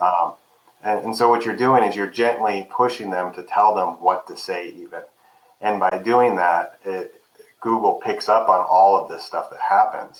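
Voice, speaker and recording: A man's loudness rises and falls in big swings as he speaks at a moderate pace. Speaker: Google business listing expert. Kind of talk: webinar interview. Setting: video call webinar.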